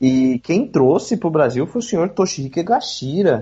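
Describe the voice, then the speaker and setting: Using a plain, everyday voice, a man with a fairly high pitch speaks at a moderate pace with lively intonation. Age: 30s. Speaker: tokusatsu enthusiast and YouTuber. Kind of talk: podcast interview.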